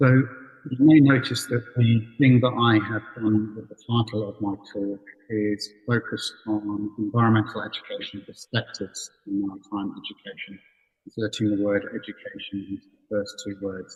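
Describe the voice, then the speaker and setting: Loudness swings widely as a man with a fairly low, somewhat breathy voice speaks at a moderate pace with fairly even intonation. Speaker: professor of education, keynote speaker. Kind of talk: conference keynote lecture. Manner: measured, with frequent fillers.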